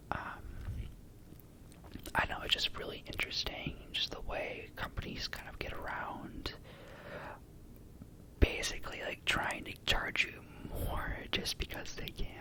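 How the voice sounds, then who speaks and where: A man whispers at a fairly slow pace, leaving long, frequent pauses. His loudness swings widely over noticeable background noise. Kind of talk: whispered ASMR ramble to camera. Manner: whispered, soft-spoken.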